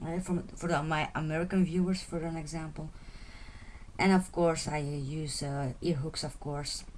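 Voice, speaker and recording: Speaking with a Flemish accent, a woman holds a very deep, low pitch in monotone, flat intonation at a moderate pace. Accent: Flemish Dutch accent in English. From Belgium (Flanders). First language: Dutch. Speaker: beading tutorial creator. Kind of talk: tutorial. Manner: halting, many fillers and repetitions.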